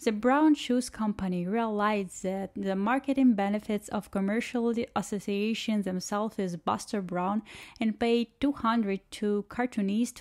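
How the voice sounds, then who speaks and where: On a very clean recording with a silent background, a woman with a non-native accent speaks at a medium pitch with fairly even intonation. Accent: noticeable non-native English. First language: not English. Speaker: shoe reviewer and channel host. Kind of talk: scripted narration with unboxing review.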